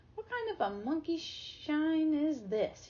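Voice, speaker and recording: A woman's squeaky, put-on character voice, extremely high in pitch and at a fairly slow pace. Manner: growling, disgusted.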